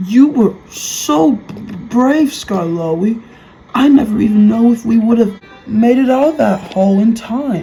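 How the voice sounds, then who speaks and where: A woman's put-on character voice, fairly high in pitch and fairly slow in pace, with faint music in the background. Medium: read story.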